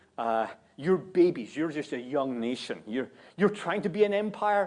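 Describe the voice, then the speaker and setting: Against a quiet background, a man with a fairly high voice speaks at a moderate pace, his pitch swinging very widely. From Scotland. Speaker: guest preacher. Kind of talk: sermon. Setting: church.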